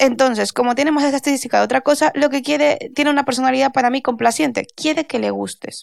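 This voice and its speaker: In a dry, close recording with no echo, a woman talks very fast with hardly any pauses, her high pitch held in a flat, monotone line. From Spain, Valencia. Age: 30s. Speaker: intellectual property lawyer. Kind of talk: casual interview.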